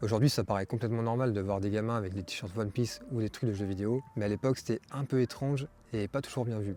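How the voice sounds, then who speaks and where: Speaking very fast, a man with a medium-pitched voice has a dark, mellow tone and fairly even intonation. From France. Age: 20s. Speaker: vlogger. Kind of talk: personal vlog monologue. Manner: casual, slangy.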